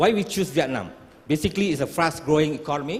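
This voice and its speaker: A man's fairly high voice with ordinary pitch variation, an unremarkable speaking voice. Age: 60s. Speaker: startup founder. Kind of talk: pitch presentation.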